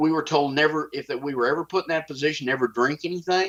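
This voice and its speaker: With a strong Texas accent, a man speaks with ordinary pitch variation. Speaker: whistleblower. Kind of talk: interview.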